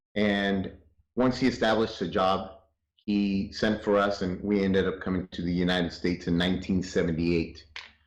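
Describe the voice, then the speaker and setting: Speaking fairly quickly with a Spanish accent, a man uses a very deep, low voice and fairly even intonation. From North Hollywood, Los Angeles; born in Chihuahua, Mexico. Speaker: interview guest. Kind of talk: interview.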